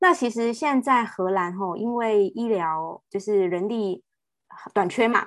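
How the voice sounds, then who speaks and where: Against a quiet background, a woman with a fairly high pitch and lively intonation speaks at a fairly slow pace in an ordinary speaking voice. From Taiwan. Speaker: nurse. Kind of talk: interview conversation.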